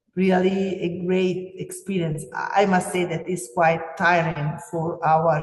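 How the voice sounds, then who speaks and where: The speech comes at a very slow pace. It is spoken with an Italian accent. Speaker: teacher. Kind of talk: webinar presentation. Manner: halting, many fillers.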